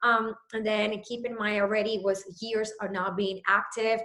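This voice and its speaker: With a Puerto Rican accent, a woman speaks in a fairly high pitch. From Puerto Rico. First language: Spanish. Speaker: fitness trainer. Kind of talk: personal story on a video call.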